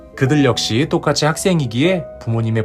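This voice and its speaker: Music plays in the background as a man speaks at a moderate pace. His voice has very wide pitch swings. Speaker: counselor and advice channel host. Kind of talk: advice and consolation talk to listener. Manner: warm, soothing, encouraging.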